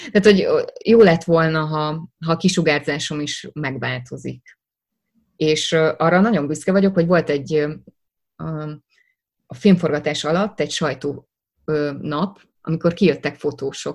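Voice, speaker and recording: Speaking fairly slowly with long, frequent pauses, a woman has a very deep, low pitch, ordinary pitch variation and big swings in loudness. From Hungary, Szeged. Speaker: actress. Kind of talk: interview.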